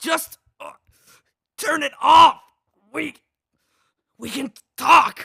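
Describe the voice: Putting on a character voice, a man talks very slowly at an extremely high pitch with ordinary pitch variation, vocal fry and a bright, sharp tone, in a dry, close sound with no echo.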